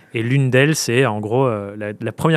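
This man talks at a very fast pace. He keeps his intonation fairly even. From France, Dordogne. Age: 20s. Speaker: freelance coach and podcaster. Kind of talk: casual interview. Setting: live recording at a festival with audience.

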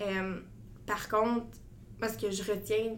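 Vocal fry runs through fairly even intonation, with audible room echo in the space. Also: woman. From Quebec (Gatineau). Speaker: medical student. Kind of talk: interview.

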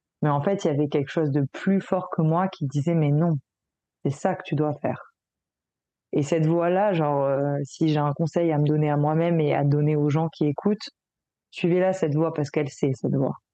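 A woman speaks in a very deep, low voice with a dark, mellow tone and fairly even intonation. Her pace is moderate, with long, frequent pauses. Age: young. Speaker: holistic coach and therapist. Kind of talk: interview. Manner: halting, repeats words.

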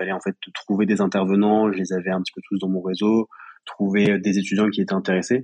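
A man's fairly low voice at a fairly quick pace. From Paris region, France. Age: 20s. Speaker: young entrepreneur, pharmacy graduate. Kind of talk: interview testimony. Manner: hesitant, with frequent fillers.

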